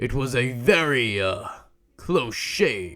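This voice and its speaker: A man puts on a character voice at medium pitch. He speaks very slowly, his pitch swinging very widely. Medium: read story. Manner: dignified, measured.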